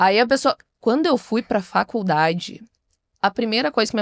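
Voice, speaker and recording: A woman with a strong gaúcho accent, lively intonation and a fairly quick pace, on a very clean recording with a silent background and a dry, close sound with no echo. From Bagé, Rio Grande do Sul, Brazil. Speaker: traditionalist culture figure. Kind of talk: podcast interview.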